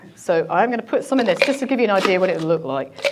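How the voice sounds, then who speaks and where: Very fast speech over noticeable background noise, with ordinary pitch variation. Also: woman. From Scotland, Argyll (Tarbert). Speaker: drinks producer giving a cocktail demo. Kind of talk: live demonstration with interviewer.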